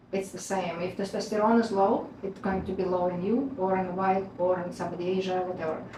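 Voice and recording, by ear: Fairly quick speech from a woman, fairly low in pitch, with a dark, mellow tone, little pitch movement and audible room echo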